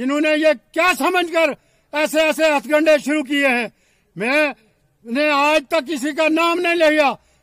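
An extremely high-pitched man's voice, bright and sharp, very slow, with fairly even intonation, dry with no echo against a quiet background. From Jammu and Kashmir. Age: 70s. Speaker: election candidate. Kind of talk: political appeal.

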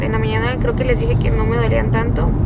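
A woman is speaking over loud background noise. The sound is dry, with no echo. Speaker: pregnant vlogger. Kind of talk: casual vlog chat. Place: car. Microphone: phone near.

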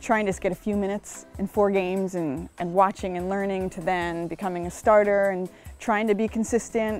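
A woman at a fairly quick pace, flat and monotone, with a dry sound free of echo and faint music in the background. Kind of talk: interview answer. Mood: relaxed, reflective, light humor. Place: garden. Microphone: lapel.

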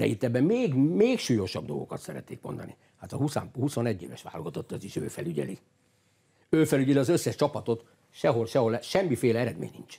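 A man's dark, mellow tone with vocal fry and very wide pitch swings, over a quiet background. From Hungary. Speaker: football coach. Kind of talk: studio interview. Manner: animated; halting. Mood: critical, indignant. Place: studio. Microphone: lapel.

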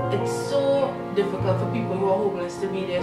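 A woman's voice over loud background music. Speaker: comedy vlogger. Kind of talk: casual vlog chat. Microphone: phone near.

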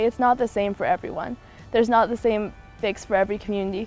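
A woman with a Canadian accent talks at a very fast pace in fairly even intonation, with a dry sound, no echo, and faint music in the background. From Haida Gwaii, British Columbia, Canada. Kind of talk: interview answer. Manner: casual, earnest. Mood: earnest, thoughtful. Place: garden. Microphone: lapel.

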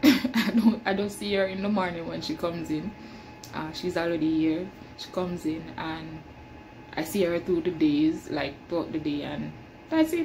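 Over noticeable background noise, a woman with a fairly low pitch speaks at a moderate pace. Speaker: janitor vlogger. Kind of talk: casual vlog chat. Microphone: phone near.

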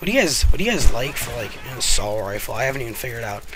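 Music plays behind a man whose pitch varies in an ordinary way. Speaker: gaming commentator. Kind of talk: gameplay commentary. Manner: casual.

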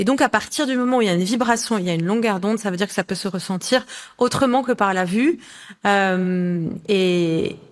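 Against a quiet background, a woman speaks at a fairly high pitch and a moderate pace, with ordinary pitch variation. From Lebanon. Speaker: colour oracle author; guest. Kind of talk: interview. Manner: halting. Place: home room.

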